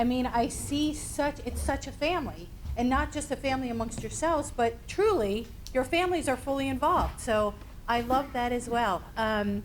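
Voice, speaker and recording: A woman speaks with a slight Northeastern US accent and a high pitch. She moves at a moderate pace. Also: ordinary pitch variation. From US Northeast. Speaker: suicide prevention trainer. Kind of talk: workshop presentation. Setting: training room with audience.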